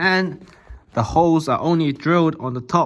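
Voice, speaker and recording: In a very clean recording with a silent background, a man talks in a Cantonese accent. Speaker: YouTuber showing cardboard model guns. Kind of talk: tutorial-style show and tell. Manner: casual, slangy.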